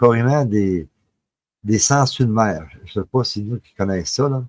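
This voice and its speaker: A man with a Quebec accent speaks at a fairly slow pace in a dry, close sound with no echo. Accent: Québécois French. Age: 60s. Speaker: paranormal storyteller. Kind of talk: personal testimony. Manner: halting, many filler words.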